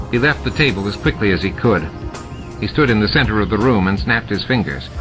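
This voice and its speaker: A man at a fairly low pitch and fairly quick pace, with music in the background. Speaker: audiobook narrator. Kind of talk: audiobook narration.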